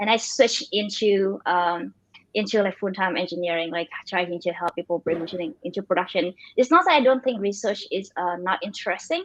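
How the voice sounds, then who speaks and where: Here a woman speaks with a Vietnamese accent at a medium pitch. She moves at a fairly quick pace with ordinary pitch variation. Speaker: machine learning engineer and startup founder. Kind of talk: interview. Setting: livestream. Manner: fast; halting.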